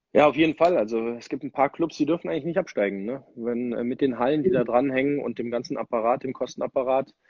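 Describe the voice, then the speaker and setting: A man's very fast speech at medium pitch, with ordinary pitch variation and hardly any pauses. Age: 30s. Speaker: ice hockey player. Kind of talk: casual interview.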